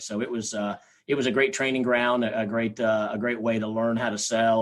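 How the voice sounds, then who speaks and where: A man's medium-pitched voice with a slight Southern US accent and fairly even intonation, against a quiet background. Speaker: sales trainer. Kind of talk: podcast interview. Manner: halting.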